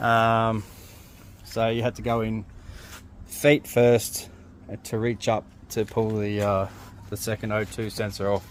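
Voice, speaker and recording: In an Australian accent, a man with fairly low pitch talks at a fairly slow pace in a monotone, flat intonation, leaving long, frequent pauses. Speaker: DIY mechanic, fitter and marine engineer. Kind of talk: tutorial. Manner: casual, hesitant with many fillers.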